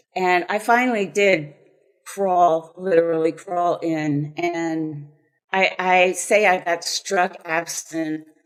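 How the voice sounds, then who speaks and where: Very slow speech from a woman with an American accent, fairly low pitched, in fairly even intonation. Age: 70s. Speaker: author sharing recovery story. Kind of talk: personal testimony and reading aloud from own book.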